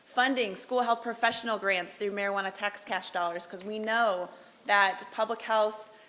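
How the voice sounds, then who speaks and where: A woman speaks loudly in a bright, sharp tone at a medium pitch, with fairly even intonation. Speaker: public health official. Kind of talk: presentation. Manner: fast.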